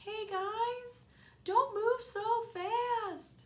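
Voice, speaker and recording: This is a put-on character voice that sounds squeaky. Its pitch is extremely high. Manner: sociable; slow-moving.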